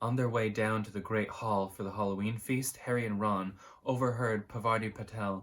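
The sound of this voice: With fairly even intonation, the reading voice sounds unforced.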